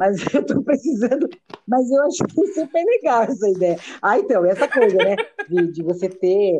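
A woman speaks at a fairly high pitch and a moderate pace, her pitch swinging very widely. Her loudness stays very even. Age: 50s. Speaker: social worker. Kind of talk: casual chat.

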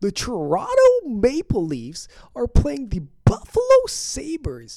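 A female-sounding voice uses a put-on character voice at a fairly slow pace. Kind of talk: announcer. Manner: exaggerated, playful.

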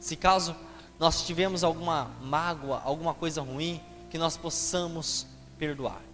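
With noticeable background noise around him, a man talks fairly slowly at a fairly high pitch with fairly even intonation. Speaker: preacher. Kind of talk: sermon. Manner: earnest, explanatory preaching pace, repeating phrases for emphasis; addresses listeners directly and asks rhetorical questions.

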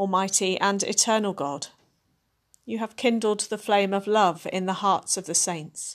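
A woman's medium-pitched voice, an unremarkable speaking voice with fairly even intonation, in a very clean recording with a silent background. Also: fairly slow pace. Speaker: service leader. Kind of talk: compline service, liturgical prayer and scripture reading. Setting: recorded podcast service for people at home. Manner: hushed, slow, reverent, with long pauses; fervent, imploring, tender intercession.

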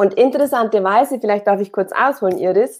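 A woman speaks, her pitch varying in an ordinary way. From Bavaria, Upper Palatinate (Oberpfalz). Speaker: performance and business coach. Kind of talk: casual interview.

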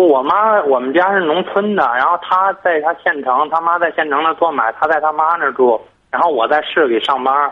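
A man with an ordinary speaking voice and a fairly high pitch talks at a moderate pace with ordinary pitch variation, very even loudness and hardly any pauses. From Tangshan, Hebei, China. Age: 20s. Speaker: caller. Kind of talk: phone-in advice call. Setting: phone call.

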